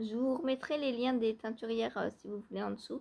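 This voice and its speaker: A soft-spoken woman at a moderate pace, her fairly high pitch paired with fairly even intonation. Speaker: knitting vlogger. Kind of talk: casual vlog talk. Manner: hesitant, many fillers.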